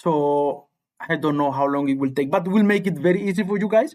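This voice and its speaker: The speaker has a slight Spanish accent and ordinary pitch variation. The pace is fairly quick. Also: man. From Cuba. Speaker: high school physics teacher. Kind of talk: live-stream tutorial. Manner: halting, repetitive.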